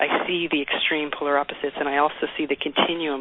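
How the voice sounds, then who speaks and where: A woman talks very fast in a very deep, low voice amid noticeable background noise. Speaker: singer-songwriter. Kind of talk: radio interview answer.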